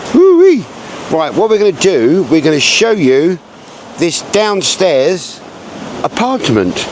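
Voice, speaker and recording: A loud, high-pitched man at a very slow pace, with very wide pitch swings, long, frequent pauses and noticeable background noise. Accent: English. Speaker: B&B owner giving a home tour. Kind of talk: casual video tour. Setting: outdoors then indoors, rain starting. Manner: animated.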